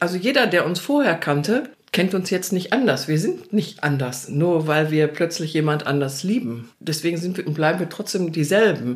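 Using very wide pitch swings and an animated tone, a woman speaks at a moderate pace with a fairly low pitch. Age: 60s. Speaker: interviewee sharing coming-out story. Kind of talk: casual interview conversation.

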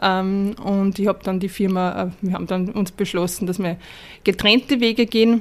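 This woman speaks at a moderate pace and a medium pitch, with fairly even intonation. The recording is very clean, with a silent background. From Upper Austria. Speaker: sustainability consultant. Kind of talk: interview. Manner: halting.

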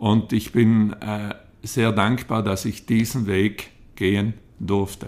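The man's voice is fairly low. He speaks very slowly in a monotone, flat intonation. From South Tyrol, Italy. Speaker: entrepreneur and hotelier. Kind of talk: interview. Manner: halting.

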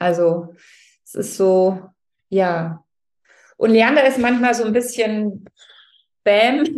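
With long, frequent pauses and big swings in loudness, a woman talks very slowly at a fairly high pitch with ordinary pitch variation. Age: 40s. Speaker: novelist. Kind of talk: interview. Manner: hesitant with fillers.

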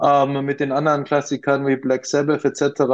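A man speaks with a fairly high pitch in a slight Austrian accent. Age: 40s. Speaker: craft brewery co-founder. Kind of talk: interview.

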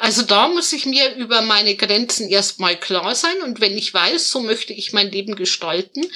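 Fairly slow, lively intonation from a woman with a fairly high voice, over noticeable background noise. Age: 30s. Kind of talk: interview. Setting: video call.

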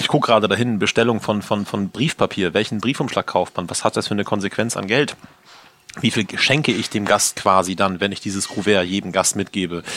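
A man talks fairly fast, his pitch shifting in a normal way, while noticeable noise runs behind him. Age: 30s. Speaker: chef and restaurant owner. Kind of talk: interview. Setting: in his restaurant.

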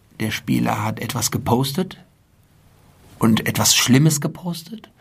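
A man speaks at a very slow pace with ordinary pitch variation. Noticeable background noise is present. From Germany, Frankfurt. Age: 40s. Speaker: sports club president. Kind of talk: interview.

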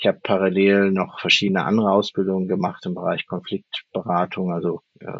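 A man's very deep, low voice at a moderate pace. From Germany. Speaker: leadership coach. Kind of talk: interview. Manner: hesitant, many fillers.

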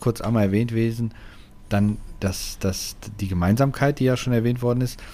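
Speaking at a moderate pace, a man with a plain, everyday voice keeps a medium pitch and fairly even intonation. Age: 30s. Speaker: gaming podcast co-host. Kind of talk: casual chat.

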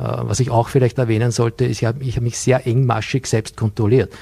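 With a dark, mellow, somewhat breathy tone, a man at medium pitch speaks very fast in a monotone, flat intonation. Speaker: business consultant and nutrition coach. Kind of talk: TV studio interview. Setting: TV studio.

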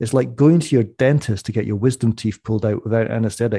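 A man with a Scottish accent, medium in pitch, with a dark, mellow tone and ordinary pitch variation, over a quiet background. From Scottish Borders. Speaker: economist and author. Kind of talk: interview. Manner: animated.

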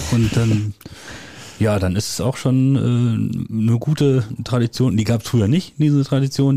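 Amid noticeable background noise, a man talks at a moderate pace with a medium pitch and ordinary pitch variation. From Westphalia, Germany (near Soest). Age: 40s. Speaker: village head. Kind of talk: casual chat. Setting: at a kitchen table, in a home.

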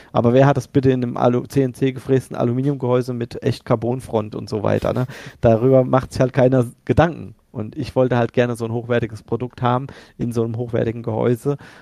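Monotone and flat in intonation, a man speaks at medium pitch and a fairly quick pace in a dark, mellow tone. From central Hesse, Germany. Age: 40s. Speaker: sim racing shop owner. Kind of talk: casual podcast interview.

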